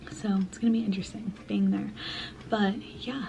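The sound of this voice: A woman speaks at a medium pitch and a moderate pace, her tone dark and mellow with vocal fry. Her pitch barely moves.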